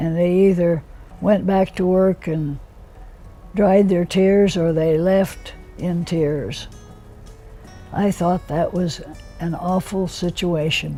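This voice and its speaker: Music plays behind a woman who speaks very slowly in a fairly low, flat, monotone voice with long, frequent pauses. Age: 80s+. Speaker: union organizer and women's rights activist. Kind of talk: interview answer.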